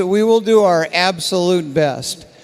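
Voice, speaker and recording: A man at a fairly slow pace, ordinary pitch variation, noticeable background noise. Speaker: contest scoreboard presenter. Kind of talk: live commentary. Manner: animated.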